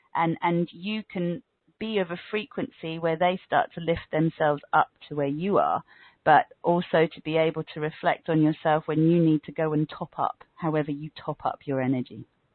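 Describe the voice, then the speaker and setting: A woman with a British accent talks in a fairly low voice with ordinary pitch variation. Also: moderate pace. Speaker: yoga teacher. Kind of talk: interview.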